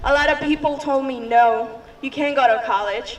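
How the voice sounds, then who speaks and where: Shaky speech comes at a moderate pace over noticeable background noise. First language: Spanish. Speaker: activist. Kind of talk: public speech.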